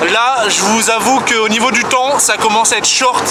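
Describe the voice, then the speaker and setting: A man talks in a high-pitched, animated tone. Room echo is audible, and there is noticeable background noise. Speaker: vlogger. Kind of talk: casual vlog. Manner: fast.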